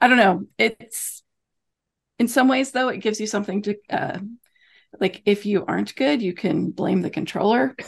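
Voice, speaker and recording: A woman with a medium pitch and vocal fry talks at a moderate pace, with ordinary pitch variation and long, frequent pauses. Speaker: podcast co-host. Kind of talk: casual chat.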